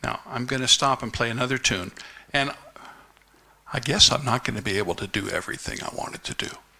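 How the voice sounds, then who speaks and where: Ordinary pitch variation at a very fast pace, broken by long, frequent pauses, over noticeable background noise. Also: man, medium pitch for a man. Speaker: conference speaker. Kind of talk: speech.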